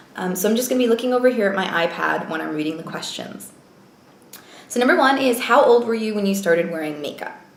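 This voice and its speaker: Speaking at a very fast pace, a woman uses ordinary pitch variation. Audible room echo and noticeable background noise are present. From US, moved around (Navy family). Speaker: beauty vlogger. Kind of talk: casual vlog talk.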